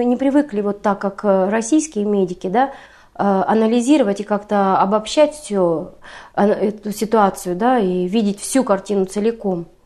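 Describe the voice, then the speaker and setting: Over a quiet background, a woman speaks at a moderate pace in a fairly high pitch, her tone dark and mellow and her pitch variation ordinary. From Siberia, Russia (Irkutsk region). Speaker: paramedic living abroad. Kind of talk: interview. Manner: hesitant, filler-heavy.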